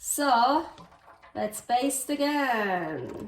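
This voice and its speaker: A woman with a Swiss German accent and lively intonation, over noticeable background noise. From Switzerland. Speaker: cooking show host. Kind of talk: cooking tutorial. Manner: casual, chatty with hesitations.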